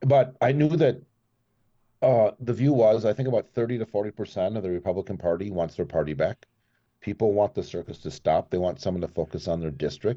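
A man with an American accent talks at a fairly quick pace in a fairly low pitch with lively intonation. His is an unremarkable speaking voice. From US Midwest, Minneapolis. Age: 50s. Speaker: congressional candidate. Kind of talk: interview. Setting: remote call.

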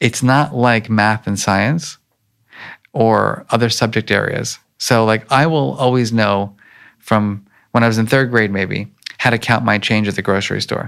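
With an American accent and a normal speaking voice, a man of medium pitch talks fairly slowly with ordinary pitch variation in a very clean recording over a silent background. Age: 50s. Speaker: emotional intelligence researcher. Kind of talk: interview. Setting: conference.

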